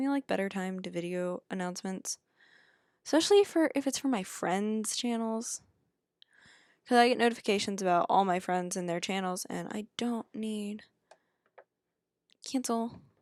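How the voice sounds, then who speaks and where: On a very clean recording with a silent background, a woman speaks quietly at a fairly high pitch with ordinary pitch variation and a moderate pace. The sound is dry and close with no echo, and her pauses are long and frequent. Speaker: gaming YouTuber. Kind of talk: gameplay commentary. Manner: hesitant.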